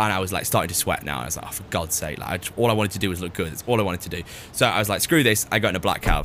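A man with a Lancashire accent, very deep and low in pitch, at a very fast pace, animated in tone, with big swings in loudness. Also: ordinary pitch variation. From northern England, Preston. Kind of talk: casual chat.

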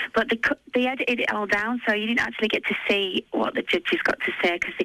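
In a Yorkshire accent, a woman talks at a very fast pace with lively intonation. Noticeable background noise is present. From northern England (Yorkshire). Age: 30s. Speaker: TV talent show contestant. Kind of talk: phone interview. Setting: phone call.

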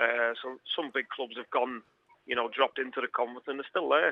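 The speaker is a man. He talks with a Liverpool accent. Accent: Scouse. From Liverpool, England. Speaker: footballer. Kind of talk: radio interview.

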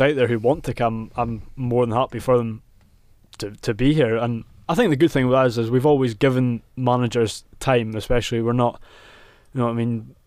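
On a very clean recording with a silent background, a man with a Scottish Highlands accent speaks at a fairly quick pace. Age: 20s. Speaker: football fan pundit. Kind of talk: casual chat. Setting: studio.

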